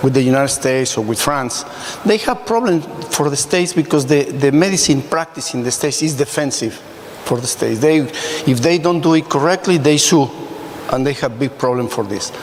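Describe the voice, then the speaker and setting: A fairly high-pitched man talks fairly quickly, his pitch varying in an ordinary way, while noticeable noise fills the background. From Mexico. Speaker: emergency physician. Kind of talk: panel discussion.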